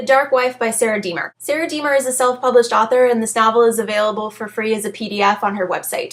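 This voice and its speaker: A woman with a high voice talks at a very fast pace. Noticeable background noise runs behind her. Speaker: book reviewer. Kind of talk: casual book review to camera.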